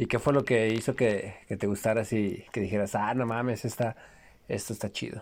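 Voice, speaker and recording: A man of medium pitch talks at a moderate pace with monotone, flat intonation on a very clean recording with a silent background. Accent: Mexican. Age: 30s. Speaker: podcast host, psychology student. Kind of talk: casual chat.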